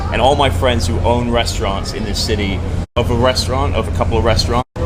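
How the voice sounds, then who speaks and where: In an American accent, the speech races at a very fast pace with ordinary pitch variation over music in the background. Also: man, fairly low pitch for a man. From London, England. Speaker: chef and amateur stand-up comedian. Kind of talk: casual street interview.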